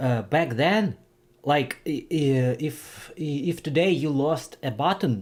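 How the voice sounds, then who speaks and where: Someone speaks at a very slow pace with a Ukrainian accent. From Ukraine. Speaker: streamer. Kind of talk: casual livestream chat. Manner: halting, many fillers and restarts.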